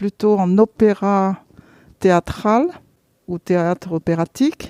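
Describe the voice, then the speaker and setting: A woman's dark, mellow voice at a very slow pace and medium pitch, with ordinary pitch variation, in a very clean recording with a silent background. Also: dry, close sound with no echo. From Vietnam. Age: 60s. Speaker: theatre programme participant. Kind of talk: interview testimony. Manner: hesitant, many fillers and repetitions.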